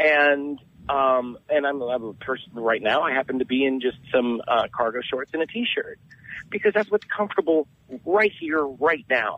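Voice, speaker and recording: Here a man speaks with an American accent at a moderate pace. His pitch is fairly high and his intonation lively. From Southern California. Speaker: podcaster, genderqueer guest. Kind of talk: radio interview. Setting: phone call.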